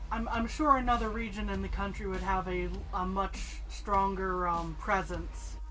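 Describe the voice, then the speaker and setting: Music plays in the background as a woman with an American accent speaks, with audible room echo. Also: moderate pace. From United States. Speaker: co-host building Lego. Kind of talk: casual chat.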